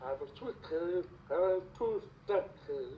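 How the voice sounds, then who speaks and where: In an American accent, a man talks very slowly at a high pitch. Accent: deaf speech. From Virginia, US. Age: 40s. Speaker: interviewee. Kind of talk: self-introduction.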